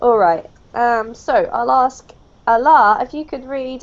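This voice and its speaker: High-pitched British accent from a woman with lively intonation. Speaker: English teacher. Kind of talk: online language lesson.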